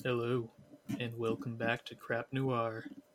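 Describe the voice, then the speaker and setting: Here a man uses a put-on character voice. His pitch sits in the medium range. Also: fairly slow pace. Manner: announcer-like, theatrical.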